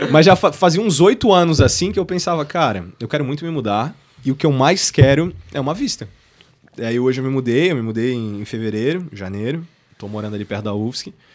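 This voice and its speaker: Talking at a fairly quick pace, a man with a medium pitch swings very widely in pitch and makes big jumps in loudness. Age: 20s. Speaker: university student and entrepreneur. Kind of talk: casual chat.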